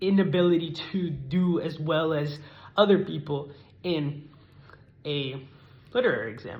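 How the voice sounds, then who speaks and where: In a room with audible echo, a man talks in a high voice with ordinary pitch variation. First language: not English (learned English as a child in America). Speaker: student. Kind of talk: persuasive speech. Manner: formal.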